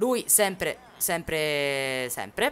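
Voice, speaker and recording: This woman's pitch is very deep and low. It swings very widely. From Sicily (Palermo). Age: 20s. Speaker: gaming streamer. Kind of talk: live stream chat while gaming. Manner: quieter than usual, holding back shouting; chatty, animated.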